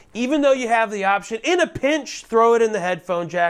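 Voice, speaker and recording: A man speaks at a moderate pace with very wide pitch swings on a very clean recording with a silent background. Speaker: YouTuber reviewing audio gear. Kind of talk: tutorial. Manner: casual, hesitant with many fillers.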